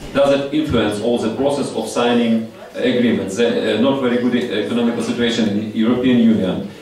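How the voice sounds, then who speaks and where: A man speaks at a moderate pace with hardly any pauses and fairly even intonation. Strong room echo and light background noise fill the recording. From Ukraine. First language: Ukrainian or Russian. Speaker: audience member, industry consultant. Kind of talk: audience question. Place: hall.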